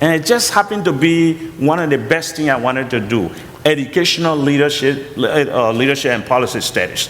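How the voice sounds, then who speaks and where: With a strong Liberian accent, a man talks at a fairly quick pace in a fairly high pitch with lively intonation over noticeable background noise. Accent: heavy Liberian. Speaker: college president and pastor. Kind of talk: interview testimony.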